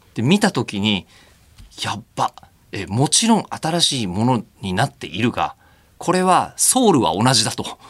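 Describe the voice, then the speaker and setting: Very wide pitch swings from a man at a medium pitch and a fairly slow pace. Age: 40s. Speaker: radio announcer and host. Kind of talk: casual chat.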